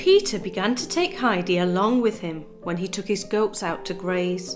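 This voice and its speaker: Music plays in the background. A woman speaks at a medium pitch in a calm tone. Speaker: storyteller. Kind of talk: reading aloud.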